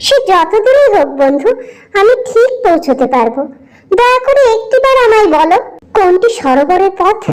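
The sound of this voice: This cartoonish character voice has an extremely high pitch and moves at a moderate pace.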